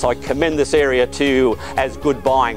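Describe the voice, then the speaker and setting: A man speaks while music plays in the background. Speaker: property auctioneer. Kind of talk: auctioneer's patter at a live property auction.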